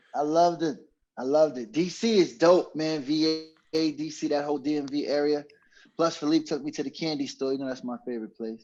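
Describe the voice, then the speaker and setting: A man speaks with a New York accent at a fairly quick pace. His pitch is fairly high, with ordinary pitch variation. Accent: New York (Bronx). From New York, the Bronx. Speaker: podcast co-host, former road manager. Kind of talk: casual chat.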